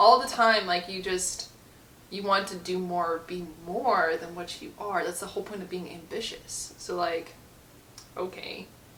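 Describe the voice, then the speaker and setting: A fairly slow pace with noticeable background noise. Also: woman, medium pitch for a woman, fairly even intonation, big swings in loudness. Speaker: book reviewer. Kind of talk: casual talk to camera. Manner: sassy, increasingly irritated.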